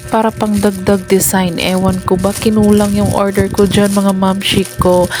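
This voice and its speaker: Quiet and strained, a woman speaks fairly slowly at a medium pitch with music in the background. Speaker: vlogger, stay-at-home mom. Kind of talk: voice-over vlog narration. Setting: at home. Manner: restrained, quiet; casual.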